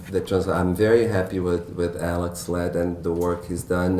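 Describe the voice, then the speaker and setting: A man with a Portuguese accent at a moderate pace, with audible room echo and noticeable background noise. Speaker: novelist. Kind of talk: author Q&A at bookstore event. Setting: bookstore event with audience. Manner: halting, many fillers and restarts.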